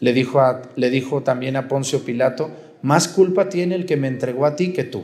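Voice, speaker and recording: A man's voice sits at a medium pitch, moving at a moderate speed with ordinary pitch variation. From Mexico, Jalisco. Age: 40s. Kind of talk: sermon. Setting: outdoor mass with congregation.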